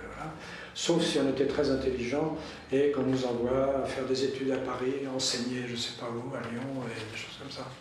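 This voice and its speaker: A man at medium pitch and moderate pace, fairly even intonation, big swings in loudness, and noticeable background noise. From Poitiers, western France. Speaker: former priest, storyteller. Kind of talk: casual interview, life story.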